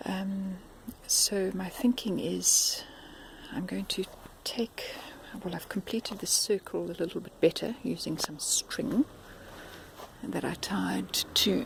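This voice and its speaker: Noticeable background noise is present throughout. The delivery is very slow. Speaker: home gardener vlogger. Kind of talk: casual how-to video narration. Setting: outdoors in garden. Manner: hesitant, with fillers.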